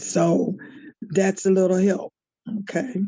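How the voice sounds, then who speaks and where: A woman speaking at a very slow pace. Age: 70s. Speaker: grandparent kinship caregiver, retired teacher. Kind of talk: personal testimony in group video meeting. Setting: video call. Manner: halting, repetitive phrasing.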